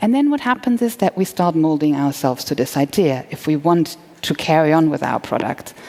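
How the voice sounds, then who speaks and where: A woman's very deep, low voice in a German accent, fairly quick and nearly pause-free, with very wide pitch swings, very even loudness and noticeable background noise. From Germany. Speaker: entrepreneur. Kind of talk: conference talk. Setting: stage with audience.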